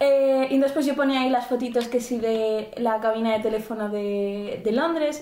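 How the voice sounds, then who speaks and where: Her pitch is high and her intonation fairly even. The woman keeps a moderate pace at a very even loudness. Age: 20s. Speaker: podcast co-host. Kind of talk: casual chat.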